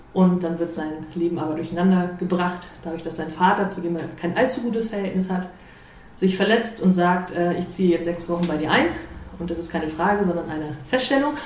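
A woman speaks fairly quickly at a fairly low pitch with ordinary pitch variation. Audible room echo and noticeable background noise surround her voice. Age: 30s. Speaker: amateur theatre director. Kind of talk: interview.

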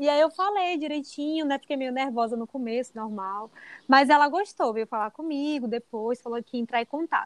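With a dry, close sound and no echo, a woman talks at a moderate pace in a high voice with lively intonation. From Bahia, Brazil. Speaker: dentist and teacher. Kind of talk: casual interview.

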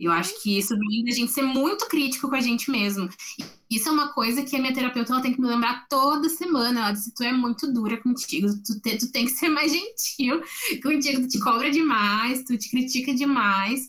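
A woman speaks at a fairly quick pace with a high pitch and ordinary pitch variation. Noticeable background noise is present. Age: 20s. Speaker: psychology student. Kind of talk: casual chat. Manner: halting, repeats words.

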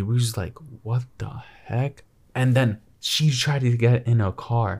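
A somewhat breathy voice at a moderate pace. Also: man. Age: 20s. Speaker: podcast co-host. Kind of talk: casual chat.

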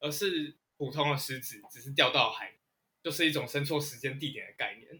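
Here is a man with a fairly high pitch and an ordinary speaking voice. He keeps a moderate pace, and his pitch varies in the usual way. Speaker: author and history writer. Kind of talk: casual interview chat.

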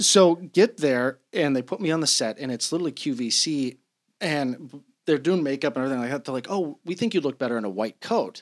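A man with an unremarkable speaking voice in an American accent, fairly high-pitched, with lively intonation and a fairly quick pace, on a very clean recording with a silent background. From Colorado. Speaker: doctor, inventor of sponsored product. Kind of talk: casual interview.

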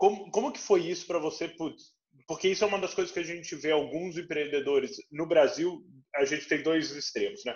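This man talks at a fairly quick pace, his pitch high and its variation ordinary. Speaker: venture capital investor, podcast host. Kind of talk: interview.

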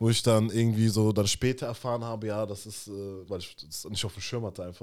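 A man speaks at a very fast clip with a fairly low pitch. His loudness swings widely while his intonation stays fairly even. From Germany. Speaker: podcast co-host. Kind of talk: casual chat.

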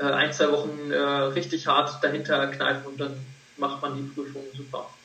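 A man talks at a moderate pace in a recording with audible room echo and noticeable background noise. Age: 20s. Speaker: medical student. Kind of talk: interview.

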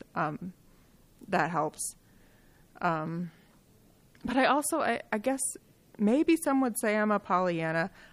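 A woman's medium-pitched voice at a very slow pace, with long, frequent pauses, very wide pitch swings and very even loudness, on a very clean recording with a silent background. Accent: American. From Michigan (Kalamazoo). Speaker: behavioral health executive. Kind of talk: interview.

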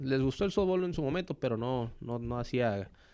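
A man with a plain, everyday voice speaks at a moderate pace, with medium pitch and ordinary pitch variation. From Mexico, Villahermosa, Tabasco. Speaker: professional baseball player. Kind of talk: casual interview.

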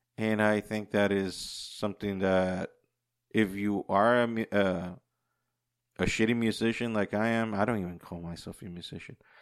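At a fairly slow pace, a man with an unremarkable speaking voice talks at a fairly low pitch with fairly even intonation over a quiet background. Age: 40s. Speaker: podcast host. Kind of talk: casual solo monologue.

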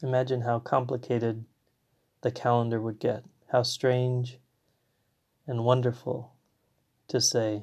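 Against a quiet background, a man at medium pitch speaks fairly slowly in a flat monotone, with long, frequent pauses. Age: 30s. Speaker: poet and parent. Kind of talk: poetry reading, reflective. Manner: slow, hushed, contemplative.

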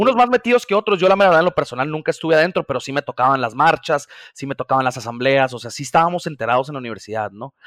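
This man's pitch swings very widely and his loudness rises and falls in big swings. He talks at a very fast pace. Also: fairly high pitch for a man. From Mazatlán, Sinaloa, Mexico. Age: 20s. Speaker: business graduate working in microfinance. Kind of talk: casual interview.

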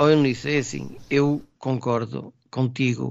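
His voice sits at a middle pitch. The delivery stays flat and monotone throughout. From Trás-os-Montes, Portugal (Vidago). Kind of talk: casual chat.

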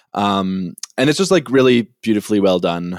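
A man with an unremarkable speaking voice talks at a moderate pace in a Canadian accent, his pitch fairly low with ordinary variation. The recording is very clean, with a silent background. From Winnipeg, Canada. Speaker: podcast co-host. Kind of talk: casual chat.

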